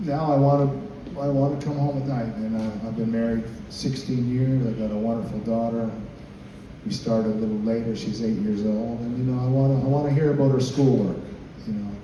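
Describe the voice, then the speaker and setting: A man with a medium-pitched voice speaks fairly quickly with fairly even intonation, amid noticeable background noise and audible room echo. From Canada. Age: 50s. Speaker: country bass player. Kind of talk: informal talk to a group of musicians. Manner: hesitant, many fillers.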